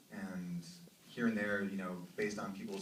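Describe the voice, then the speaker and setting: A man speaks at a fairly quick pace in a monotone, flat delivery, with audible room echo and noticeable background noise. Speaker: film director. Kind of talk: festival Q&A with audience. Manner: halting, many fillers.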